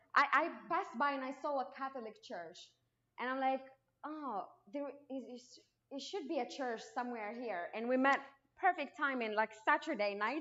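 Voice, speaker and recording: Pausing long and often, a high-pitched woman with a Moroccan accent speaks at a moderate pace, with ordinary pitch variation and big swings in loudness. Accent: non-native English, Moroccan. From Morocco. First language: Arabic. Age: 20s. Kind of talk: testimony. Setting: church, unamplified, speaking to congregation. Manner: halting, with frequent restarts; trying to speak louder.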